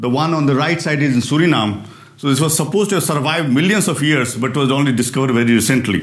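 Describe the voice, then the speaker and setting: Speaking at a fairly quick pace with an Indian accent, a man with a fairly high voice shows ordinary pitch variation against a quiet background. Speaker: physicist and research director. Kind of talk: lecture. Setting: stage with audience. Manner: fast. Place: hall. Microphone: lapel.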